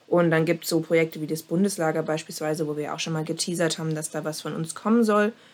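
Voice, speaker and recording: Talking at a very fast pace with hardly any pauses, a woman keeps a fairly low pitch and fairly even intonation. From Saxony, Dresden. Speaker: scout volunteer. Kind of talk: podcast interview.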